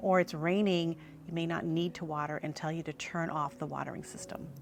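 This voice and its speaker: Her voice is an ordinary speaking voice, a woman's, with fairly low pitch and fairly even intonation. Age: 60s. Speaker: lifestyle vlogger. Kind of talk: casual vlog narration; sponsored product pitch. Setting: outdoors in garden.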